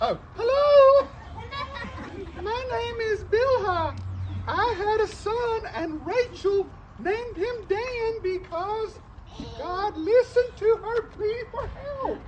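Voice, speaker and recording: A woman uses a put-on character voice at an extremely high pitch, with clear background noise behind her. She speaks at a very slow pace with long, frequent pauses. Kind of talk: comic skit for kids. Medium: stage play.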